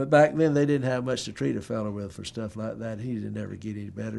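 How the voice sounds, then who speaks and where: A very fast pace in an eastern North Carolina accent. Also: man. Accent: Southern US, eastern North Carolina. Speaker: family history interviewee. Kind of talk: oral history interview.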